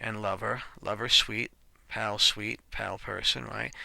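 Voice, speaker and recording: In a very clean recording with a silent background, a man speaks with vocal fry and a bright, sharp tone. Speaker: programming tutorial teacher. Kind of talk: screen-recorded coding tutorial. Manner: casual, self-correcting with fillers.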